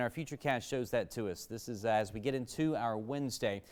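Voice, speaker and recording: A man's normal speaking voice with an American accent, at a fairly quick pace and with ordinary pitch variation. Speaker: chief meteorologist, TV weather forecaster. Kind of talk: local TV weather forecast. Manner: conversational, fluent.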